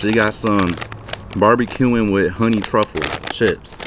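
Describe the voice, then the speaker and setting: With an American accent, a man speaks at a fairly slow pace and fairly low pitch, the sound dry with no echo but with noticeable background noise. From US Midwest, Milwaukee. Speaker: YouTuber. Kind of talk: product review vlog. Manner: casual, energetic. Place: garden. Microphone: phone near.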